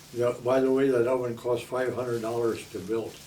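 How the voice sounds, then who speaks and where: In a Midwestern American accent, a man speaks at a moderate pace. His pitch is medium, and the room echo is audible. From South Omaha, Nebraska. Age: 80s+. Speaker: retired baker. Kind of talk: oral history interview. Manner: halting.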